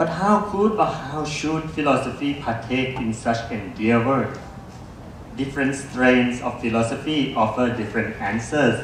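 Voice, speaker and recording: A man at medium pitch with lively intonation and a fairly slow pace, amid audible room echo and noticeable background noise. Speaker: philosophy lecturer. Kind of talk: reading a prepared talk. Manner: formal.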